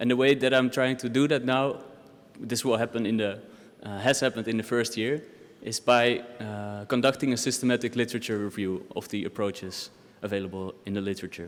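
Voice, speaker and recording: A man with a Dutch accent speaks at a fairly quick pace. His pitch is medium and his intonation fairly even. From Netherlands. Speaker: doctoral researcher. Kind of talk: academic presentation.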